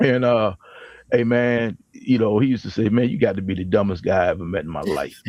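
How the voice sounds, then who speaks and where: At a fairly quick pace, a man speaks. His medium pitch varies in an ordinary way. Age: 60s. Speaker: panel guest on men's talk show. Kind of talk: casual chat. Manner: animated.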